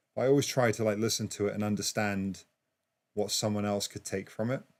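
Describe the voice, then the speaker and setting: Very fast and fairly even in intonation, a man with an English accent speaks at a fairly low pitch. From England. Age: 40s. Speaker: DJ and music producer. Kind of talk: casual livestream chat. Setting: livestream. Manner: halting, many fillers.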